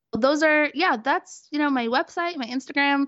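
A woman with an American accent, a plain, everyday voice, at a fairly quick pace. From Brooklyn, New York. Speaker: dietitian. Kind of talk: casual interview.

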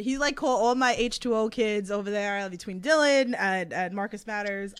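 In a strong Queens accent, a woman speaks at a moderate pace with a fairly high pitch and ordinary pitch variation. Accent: thick New York (Queens). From Queens, New York. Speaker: wrestling podcast host. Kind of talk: casual interview chat. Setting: online livestream with chat.

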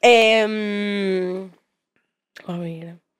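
A woman's monotone, flat voice in a Paisa Colombian accent. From Colombia, Medellín area (Bello). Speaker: content creator, model. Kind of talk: casual interview chat.

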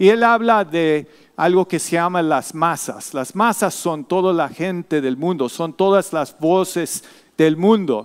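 Using ordinary pitch variation, a man speaks at a very slow pace with a high pitch. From Latin America (Mexico, Argentina), US missionary family. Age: 50s. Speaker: missionary and seminary professor, guest preacher. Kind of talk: sermon. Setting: church.

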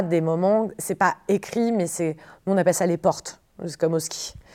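This woman uses a normal speaking voice, fairly low in pitch, moving at a moderate pace with ordinary pitch variation. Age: 30s. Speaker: improv performer and producer. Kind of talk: interview.

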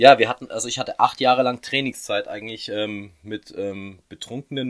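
In a normal speaking voice, a man talks at a moderate pace with medium pitch and ordinary pitch variation, the sound dry and close with no echo. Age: 30s. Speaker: magician. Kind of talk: casual interview.

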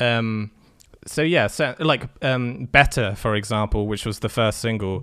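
In an English accent, a man speaks at a medium pitch with a bright, sharp tone. He leaves long, frequent pauses. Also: ordinary pitch variation, fairly slow pace, very clean recording, silent background. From England. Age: 20s. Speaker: music producer. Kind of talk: casual chat. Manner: halting, many fillers.

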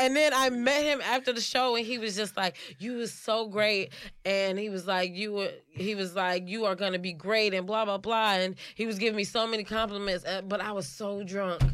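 With an American accent, a woman speaks in an unremarkable speaking voice at a medium pitch, keeping a moderate pace and ordinary pitch variation. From Chicago. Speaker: stand-up comedian and actress. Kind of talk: casual interview chat.

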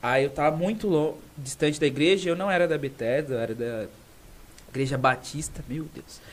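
A man has an unremarkable speaking voice with a fairly high pitch. He speaks at a moderate pace with ordinary pitch variation. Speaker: podcast co-host, lawyer. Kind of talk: casual chat.

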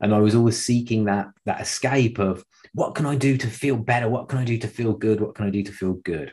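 A man speaks at a fairly quick pace with a dark, mellow tone that is somewhat breathy. His pitch is medium, with ordinary variation. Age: 30s. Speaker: podcast host and fitness trainer. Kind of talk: solo monologue, personal story.

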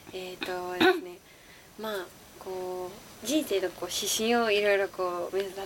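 A woman speaks at a medium pitch and a moderate pace, her loudness swinging widely and her pitch varying in an ordinary way, over noticeable background noise. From Osaka. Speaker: actress. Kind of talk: interview.

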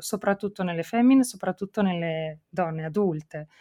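A woman's normal speaking voice, medium in pitch with ordinary pitch variation, at a moderate pace, dry and close with no echo, over a very clean, silent background. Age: 40s. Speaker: podcast host, mother. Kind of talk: casual interview chat.

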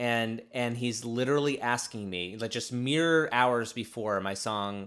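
A man speaks fairly slowly with a normal speaking voice at a medium pitch. His intonation stays fairly even, and the recording is very clean with a silent background. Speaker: podcast host. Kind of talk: casual chat.

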